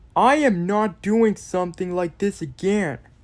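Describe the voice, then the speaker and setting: A put-on character voice is used here, pitched in the middle range. It moves along at a moderate pace. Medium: solo performance. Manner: earnest, shaken.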